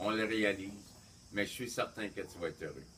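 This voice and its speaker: Bright and sharp in tone, a man's voice sits at a fairly low pitch. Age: 60s. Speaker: family member giving birthday wishes. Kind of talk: birthday message.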